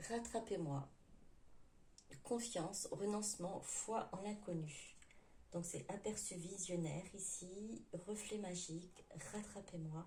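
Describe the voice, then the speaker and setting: In a room with audible echo, a woman talks at a very slow pace with long, frequent pauses. Her voice has a medium pitch, ordinary pitch variation, and a dark, mellow tone. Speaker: tarot card reader. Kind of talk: tarot reading for viewers. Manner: hesitant, many fillers; forcing voice louder.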